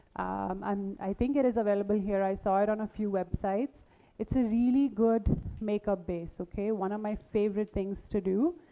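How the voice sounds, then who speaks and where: A woman speaks at medium pitch and a moderate pace in a normal speaking voice with fairly even intonation. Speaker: makeup artist teaching a masterclass. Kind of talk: live demonstration workshop.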